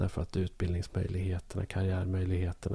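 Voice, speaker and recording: A man with a very deep, low pitch speaks very fast in a dark, mellow, somewhat breathy tone. The recording is very clean, with a silent background. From southern Norrland, Sweden (Bollnäs). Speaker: podcast co-host. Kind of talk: casual chat.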